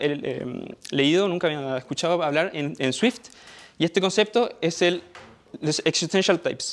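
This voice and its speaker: His voice is high for a man, with ordinary pitch variation. He speaks at a fairly slow pace. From Chile. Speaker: software developer; conference presenter. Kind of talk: conference talk. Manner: halting. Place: meeting room.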